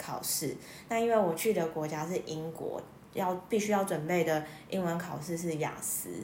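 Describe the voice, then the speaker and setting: Fairly low in pitch, a woman speaks at a moderate pace with fairly even intonation, and audible room echo can be heard. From Taiwan. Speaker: music therapist, former nurse. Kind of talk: interview.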